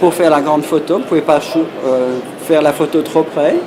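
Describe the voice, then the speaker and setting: Amid audible room echo and noticeable background noise, a man speaks at a fairly high pitch. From Belgium. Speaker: professional photographer. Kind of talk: interview. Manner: halting.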